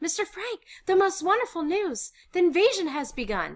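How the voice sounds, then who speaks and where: A squeaky, put-on character voice moves along at a moderate pace. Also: woman, extremely high pitch for a woman. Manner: excited.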